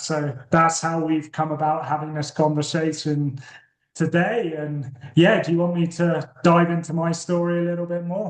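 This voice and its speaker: A man with a British accent, fairly high in pitch, monotone and flat in intonation, at a moderate pace. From UK. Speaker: recovering addict and author. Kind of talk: podcast interview testimony.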